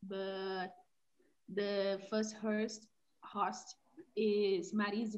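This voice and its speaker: With a Brazilian accent, a woman talks at a medium pitch in a flat, monotone intonation. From Belo Horizonte, Minas Gerais, Brazil. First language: Portuguese. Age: 20s. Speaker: language learner. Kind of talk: casual group chat. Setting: video call, breakout room.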